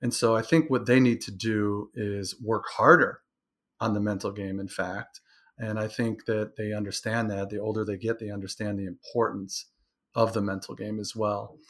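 In an ordinary speaking voice, a man with an American accent talks at a moderate pace, fairly low in pitch with fairly even intonation, on a very clean recording with a silent background. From Michigan, Detroit area. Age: 50s. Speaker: sport psychology coach. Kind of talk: interview.

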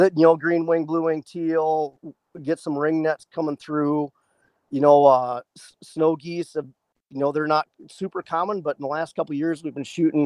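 An American-accented man speaks at a moderate pace in a fairly high voice with monotone, flat intonation, recorded with a dry, close sound and no echo. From US Midwest, rural northeast Iowa. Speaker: waterfowl hunter, army veteran. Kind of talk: casual chat.

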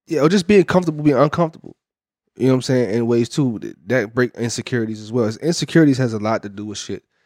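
Very fast and lively in intonation, a man speaks at a medium pitch with big swings in loudness. The recording is very clean, with a silent background and a dry, close sound with no echo. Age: 30s. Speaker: podcast co-host. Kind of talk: casual chat.

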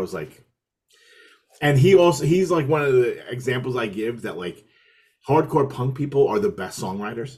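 Speaking at a fairly quick pace with lively intonation, a man with an American accent has an ordinary speaking voice. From New York City, Brooklyn. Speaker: hardcore musician and podcaster. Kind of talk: casual chat. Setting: video call.

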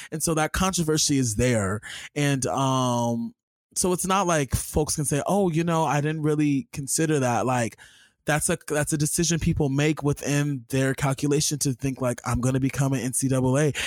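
Here a man speaks with an American accent in a fairly high voice with ordinary pitch variation. His loudness stays very even throughout. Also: moderate pace. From US, Los Angeles. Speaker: podcast host. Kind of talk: casual chat. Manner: animated.

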